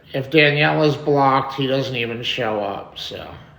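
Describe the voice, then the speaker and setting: The voice has ordinary pitch variation. Audible room echo and noticeable background noise surround it. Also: man. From New York. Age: 40s. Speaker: live streamer. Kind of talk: live stream chat. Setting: home live stream. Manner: loud.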